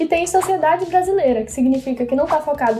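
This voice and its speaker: Over noticeable background noise, a woman rattles along at a very fast pace with ordinary pitch variation. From São Luís, Maranhão, Brazil. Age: 20s. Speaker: medical student and content creator. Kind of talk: casual educational talk to camera.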